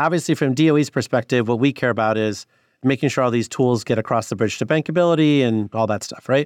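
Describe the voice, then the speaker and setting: A man with an American accent speaks very fast at a medium pitch, with ordinary pitch variation. The sound is dry and close with no echo, over a quiet background. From US Midwest, northwest Illinois. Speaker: government clean energy finance official. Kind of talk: interview.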